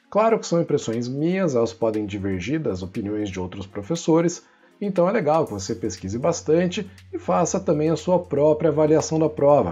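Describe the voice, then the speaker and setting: Music plays in the background as a man speaks at a fairly high pitch and a moderate pace, with very wide pitch swings. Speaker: physics teacher. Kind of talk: exam review tutorial. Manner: casual, conversational.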